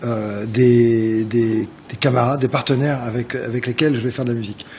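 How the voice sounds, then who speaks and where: A man speaks in a Parisian accent at a medium pitch. His delivery is a flat monotone at a moderate pace. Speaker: jazz organist. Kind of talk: TV interview. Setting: TV studio. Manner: halting, many hesitations.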